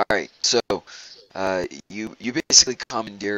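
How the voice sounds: A natural reading voice is heard with a quiet background behind it.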